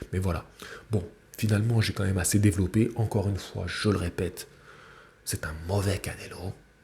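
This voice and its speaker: A man with a dark, mellow, somewhat breathy tone speaks at a fairly low pitch in a monotone, flat intonation, leaving long, frequent pauses. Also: fairly quick pace. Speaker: boxing YouTuber. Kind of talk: fight reaction commentary. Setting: at parents' home, early morning. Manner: soft-spoken; halting.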